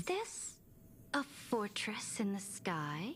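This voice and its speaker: Using a put-on character voice at a medium pitch, a woman speaks over clear background noise. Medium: video game. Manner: lofty, formal.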